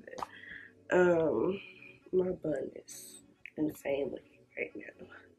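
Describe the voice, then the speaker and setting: The speech has long, frequent pauses, with music playing in the background. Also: woman, big swings in loudness. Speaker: vlogger and makeup artist. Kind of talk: casual vlog talk to camera. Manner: casual, rambling.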